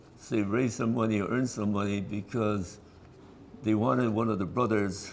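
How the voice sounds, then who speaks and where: At a moderate pace, a man with an American accent and a fairly low pitch speaks with ordinary pitch variation amid audible room echo. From California, San Fernando Valley. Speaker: descendant of an internee. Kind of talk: oral history interview. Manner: halting.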